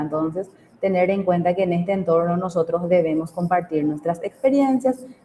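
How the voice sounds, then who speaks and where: A woman speaks in a medium pitch. Noticeable background noise is present. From Paraguay, Capiatá. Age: 30s. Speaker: teacher. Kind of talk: online class lecture.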